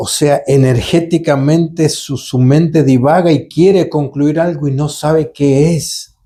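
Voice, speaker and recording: At a fairly slow pace, a man speaks with a dark, mellow tone that is somewhat breathy. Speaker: holistic therapist / channeler. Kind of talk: live Q&A session. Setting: live stream. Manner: halting, some repetitions.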